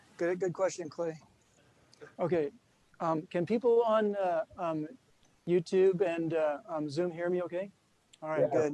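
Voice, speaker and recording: Speaking at a high pitch and a fairly slow pace, a man leaves long, frequent pauses. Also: fairly even intonation. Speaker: presenter on a video call. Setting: online video call. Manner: hesitant, many filler words.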